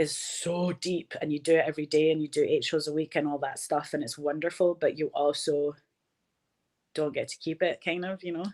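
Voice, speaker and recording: A woman speaks with a Glasgow accent at a fairly quick pace. Her pitch is very deep and low, and the sound is dry and close with no echo. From Scotland, Glasgow. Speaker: film director and actor. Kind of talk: interview conversation. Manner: animated.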